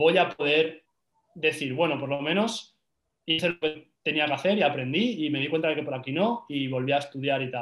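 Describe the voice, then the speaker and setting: This man has an unremarkable speaking voice. His pitch sits fairly high, with ordinary pitch variation. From Spain, Valencia. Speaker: social media marketing entrepreneur. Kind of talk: casual interview.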